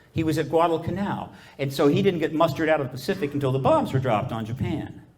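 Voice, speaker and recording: A man talks at a very fast pace in a fairly high pitch, with audible room echo. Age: 70. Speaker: UFO disclosure activist speaker. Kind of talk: conference talk. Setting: stage with audience.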